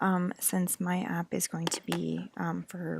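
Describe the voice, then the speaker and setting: The voice belongs to a woman. She speaks quietly. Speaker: university student. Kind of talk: class presentation. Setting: library. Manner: hesitant.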